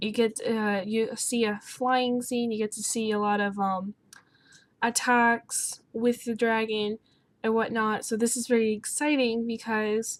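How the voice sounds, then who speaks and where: A soft-spoken woman talks at a fairly slow pace. Her fairly high voice stays monotone and flat. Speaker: gaming YouTuber. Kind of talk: casual talk to camera.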